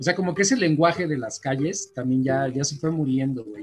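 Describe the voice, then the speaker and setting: Fairly quick talk from a man, with noticeable background noise behind him. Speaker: podcast co-host. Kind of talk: casual chat. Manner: halting, repeats words.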